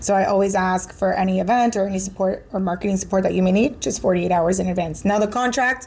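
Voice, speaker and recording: A woman with a Spanish accent speaks very fast with hardly any pauses, her medium-pitched, somewhat breathy voice holding a very even loudness and fairly even intonation. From Miami, Florida, of Venezuelan-Colombian family. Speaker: marketing director. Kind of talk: casual interview chat.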